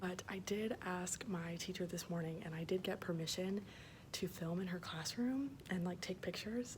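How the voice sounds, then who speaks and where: Medium pitch from a woman, ordinary pitch variation, and audible room echo. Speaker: student teacher vlogger. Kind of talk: casual vlog tour. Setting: classroom. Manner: quiet, hushed.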